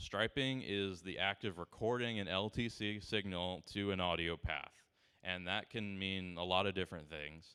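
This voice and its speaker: His pitch is very deep and low. The man's pitch varies in an ordinary way. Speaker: seminar presenter on timecode. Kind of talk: lecture. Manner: fast.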